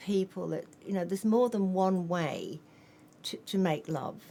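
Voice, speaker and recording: In an Australian accent, a woman speaks at a medium pitch. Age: 70s. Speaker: author and nurse. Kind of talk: interview.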